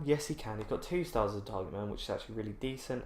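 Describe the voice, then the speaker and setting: The speaker is a man. He talks with an English accent. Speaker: gaming YouTuber. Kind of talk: let's play commentary. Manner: slow; quiet.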